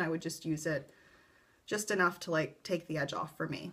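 At a moderate pace, a woman talks with a fairly low pitch. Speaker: vlogger telling her birth story. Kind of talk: casual vlog chat. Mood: calm, relaxed storytelling. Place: home room. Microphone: webcam.

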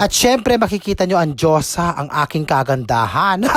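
With an animated tone and very wide pitch swings, a woman talks at a moderate pace in a fairly low pitch. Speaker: vlogger. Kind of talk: vlog voice-over. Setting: at home.

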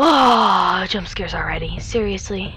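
Against loud background noise, a woman speaks at a very slow pace. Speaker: gamer. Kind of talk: gameplay commentary.

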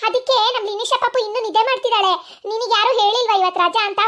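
Cartoonish character voice from a woman, extremely high in pitch, with fairly even intonation at a moderate pace. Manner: gruff, scolding.

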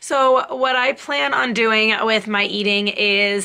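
The voice belongs to a woman. Its pitch variation is ordinary. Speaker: fitness vlogger. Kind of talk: casual vlog chat. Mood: friendly, occasional laughs. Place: home room. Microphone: phone near.

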